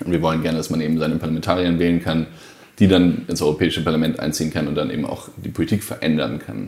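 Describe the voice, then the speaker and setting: A man talks very fast in a very deep, low voice with fairly even intonation. Noticeable background noise sits behind him. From Germany, Hesse near Frankfurt. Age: 30s. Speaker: politician, party co-founder. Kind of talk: interview.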